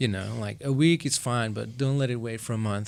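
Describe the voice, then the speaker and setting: Speaking at a medium pitch, a man talks in a Flemish Belgian accent. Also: very clean recording, silent background. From Belgium (Flanders). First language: Flemish (Dutch). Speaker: session drummer. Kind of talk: podcast interview. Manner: casual, hesitant with fillers.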